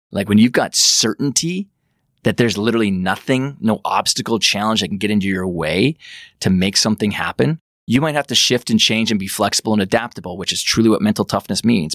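Talking very fast, a man with a Western Canadian accent uses a fairly low pitch and ordinary pitch variation, in a very clean recording with a silent background and a dry, close sound with no echo. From Western Canada, rural Alberta. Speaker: high performance coach and author. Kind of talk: interview.

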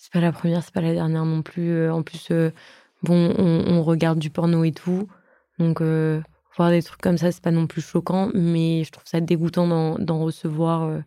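A dark, mellow tone with monotone, flat intonation, a fairly slow pace and big swings in loudness. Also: woman, fairly low pitch for a woman. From Eastern Europe, raised in France from age 6. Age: young. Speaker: young interviewee. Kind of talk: casual chat.

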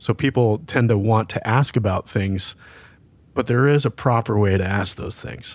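An ordinary speaking voice with ordinary pitch variation talks at a moderate pace. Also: man, medium pitch for a man. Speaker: podcast co-host, law enforcement. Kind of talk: casual interview.

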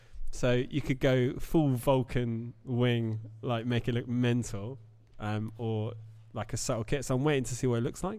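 A man talks at a moderate pace with a medium pitch and a dark, mellow tone. His intonation stays fairly even. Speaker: car rally organiser and car enthusiast. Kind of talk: casual chat. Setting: live audience at a car dealership. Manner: soft-spoken; calm, low-key.

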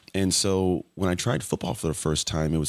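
A man's very deep, low voice with vocal fry, ordinary pitch variation and a fairly quick pace, in a very clean recording over a silent background. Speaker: former athlete, podcast guest. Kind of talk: interview.

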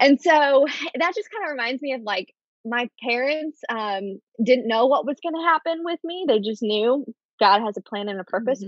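This woman's high-pitched voice moves at a moderate pace, with very wide pitch swings and big swings in loudness. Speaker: children's ministry director. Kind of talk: casual chat. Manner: halting.

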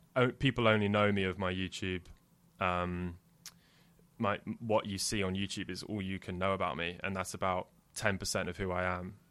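Over a silent background in a very clean recording, a man with a very deep, low pitch speaks with fairly even intonation and long, frequent pauses. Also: moderate pace. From Jersey (Channel Islands). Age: 20s. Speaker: YouTuber. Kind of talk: casual chat.

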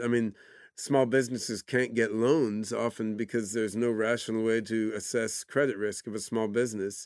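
An unremarkable speaking voice in an American accent, moderate in pace with fairly even intonation, over a silent background in a very clean recording. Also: man. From US, Oregon. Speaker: AI scientist and entrepreneur. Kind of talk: interview. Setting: studio.

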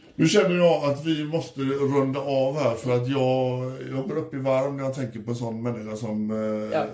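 A man speaks at a moderate pace with hardly any pauses, his medium pitch showing ordinary variation, over noticeable background noise and audible room echo. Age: 50s. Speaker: podcast host. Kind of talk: casual chat. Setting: hotel room. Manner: animated.

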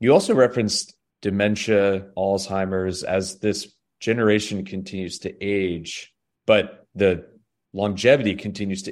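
On a very clean recording with a silent background, a man uses a normal speaking voice with a fairly low pitch, fairly even intonation and a moderate pace. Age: 40s. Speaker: podcast host. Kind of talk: interview.

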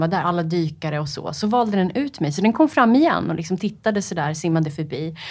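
Her pitch swinging very widely, a woman speaks. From Sweden, Upplands Väsby. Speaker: freediver, world record holder. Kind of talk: interview. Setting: studio. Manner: hesitant, many fillers.

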